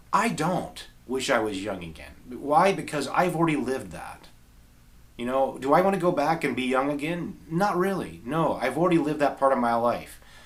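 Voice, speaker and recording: This man talks at a moderate pace with a fairly high pitch and some vocal fry. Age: 40s. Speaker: guitarist and video creator. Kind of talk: reading aloud from journal; casual talk to camera.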